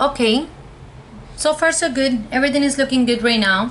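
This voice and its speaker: Noticeable background noise sits under a woman's high-pitched voice. She talks at a fairly slow pace with ordinary pitch variation. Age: 20s. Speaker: cosmetologist, beauty reviewer. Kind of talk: casual talk to camera, product review.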